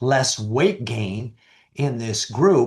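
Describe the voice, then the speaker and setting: A man speaks at a very slow pace with a medium pitch and a somewhat breathy sound. The background is quiet. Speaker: physician presenter. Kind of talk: lecture.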